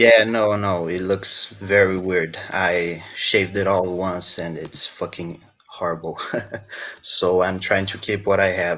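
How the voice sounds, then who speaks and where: A man's very deep, low voice, fairly slow and monotone with flat intonation, against noticeable background noise. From South America. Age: 20s. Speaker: caller. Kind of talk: casual chat. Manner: halting.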